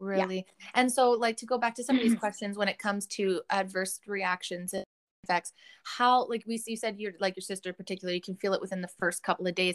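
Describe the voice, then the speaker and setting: With a Canadian accent, a woman talks at a very fast pace in a medium pitch, her intonation fairly even and the sound dry and close with no echo. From Canada. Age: 30s. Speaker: podcast host. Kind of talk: casual chat.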